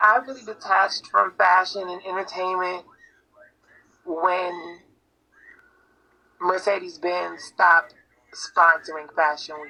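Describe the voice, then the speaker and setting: A woman at a medium pitch, very slow pace with long, frequent pauses, ordinary pitch variation, and big swings in loudness. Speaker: live stream guest. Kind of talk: casual chat. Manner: articulate, well spoken.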